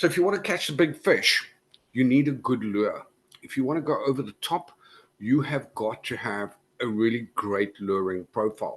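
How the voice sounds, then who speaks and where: With a South African accent, a man talks at a moderate pace and medium pitch, his intonation lively against a quiet background. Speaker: cybersecurity conference speaker. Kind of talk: conference talk.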